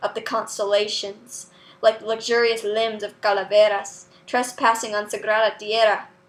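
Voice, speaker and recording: A woman's fairly high voice at a moderate pace, with monotone, flat intonation. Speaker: poet. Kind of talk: spoken word poetry reading.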